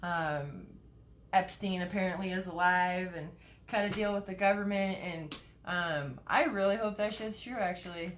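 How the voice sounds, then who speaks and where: Moderate pace and ordinary pitch variation, with audible room echo. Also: woman, medium pitch for a woman. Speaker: cannabis advocate and live streamer. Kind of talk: casual live stream chat. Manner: stutters, many fillers.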